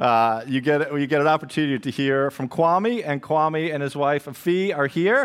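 In a normal speaking voice, a man talks at a moderate speed, his pitch varying in an ordinary way. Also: fairly high pitch for a man. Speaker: pastor. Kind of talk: church announcements. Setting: church. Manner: casual, upbeat.

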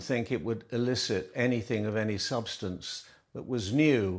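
A man with a normal speaking voice talks at a fairly slow pace, medium in pitch with ordinary pitch variation. The recording is very clean with a silent background. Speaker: royal journalist. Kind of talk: TV interview.

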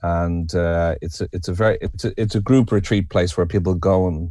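A man with a very deep, low voice and a dark, mellow tone speaks with a Dublin accent. The recording is very clean, with a silent background. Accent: Irish (Dublin). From Ireland, Dublin. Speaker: writer, poet and retreat leader. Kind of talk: podcast interview.

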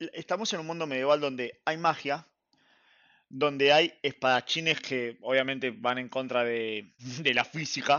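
Here is a man with an ordinary speaking voice at a fairly high pitch. He goes at a fairly slow pace with ordinary pitch variation. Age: 30s. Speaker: anime podcast guest. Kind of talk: casual chat.

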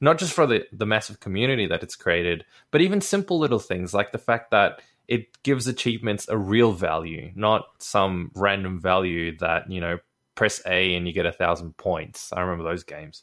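On a very clean recording with a silent background, a man with a normal speaking voice and a fairly low pitch talks at a moderate pace with lively intonation. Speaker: podcast co-host. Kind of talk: casual chat. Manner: joking.

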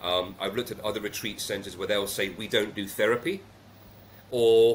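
A man speaks with a British accent. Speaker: retreat CEO. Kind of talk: interview. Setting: Jamaica, remote call.

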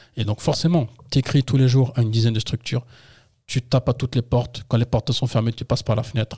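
In a dry, close sound with no echo, a man speaks very fast in a dark, mellow, somewhat breathy voice with fairly even intonation. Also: medium pitch for a man. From France, Yvelines (78), Paris suburbs. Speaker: entrepreneur, former football coach. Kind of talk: interview.

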